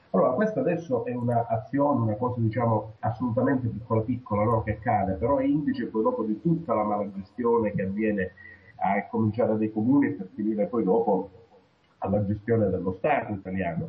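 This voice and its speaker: The speech moves at a fairly quick pace. There is noticeable background noise. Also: man, medium pitch for a man, ordinary pitch variation. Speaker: regional political association secretary. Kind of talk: political discussion. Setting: video call.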